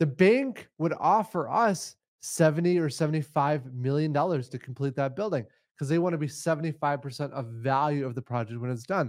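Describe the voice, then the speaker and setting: Speaking at a fairly quick pace, a man with an American accent has a fairly high pitch and ordinary pitch variation. His is an unremarkable speaking voice, heard on a very clean recording with a silent background. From Minnesota, Forest Lake. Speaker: housing developer. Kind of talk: interview.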